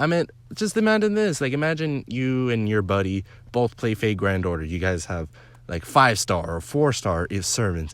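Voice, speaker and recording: On a very clean recording with a silent background, a man with a fairly low pitch speaks at a moderate pace in an animated tone, his pitch swinging very widely. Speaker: gaming YouTuber. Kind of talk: casual vlog commentary. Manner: halting, filler-heavy.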